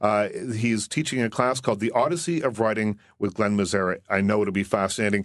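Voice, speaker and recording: A man with an unremarkable speaking voice talks at a fairly quick pace, his pitch fairly low with ordinary variation. His loudness stays very even against a quiet background. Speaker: movie critic and radio host. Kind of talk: radio interview. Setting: studio.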